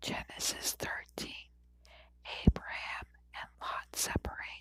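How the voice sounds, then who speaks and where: A woman whispers. Her pace is very slow. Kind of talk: ASMR whisper reading of scripture. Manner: whispered.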